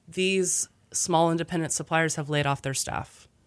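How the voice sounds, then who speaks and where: An unremarkable speaking voice with an American accent, moderate in pace, in a very clean recording with a silent background and a dry, close sound with no echo. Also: woman. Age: 30s. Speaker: restaurant owner. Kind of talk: casual chat.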